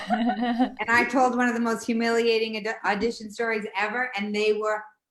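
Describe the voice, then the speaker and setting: A woman speaks with a strong Boston accent at a fairly high pitch. Her pace is moderate and her intonation is monotone and flat. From Boston, Dorchester. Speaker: stand-up comedian. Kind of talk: casual chat.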